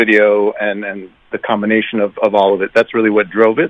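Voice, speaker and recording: A man's unremarkable speaking voice at medium pitch, moving at a fairly quick pace. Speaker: music producer. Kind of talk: casual interview.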